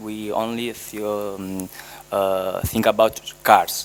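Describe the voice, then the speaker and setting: In an Italian accent, a man speaks with a fairly low pitch and monotone, flat intonation. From Italy, Naples. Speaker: master's graduate. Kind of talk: self-introduction in workshop. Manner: halting.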